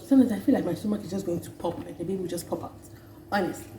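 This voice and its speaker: A woman at a very fast pace, with a fairly low pitch and lively intonation, amid audible room echo and noticeable background noise. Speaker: vlogger. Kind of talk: casual vlog talk.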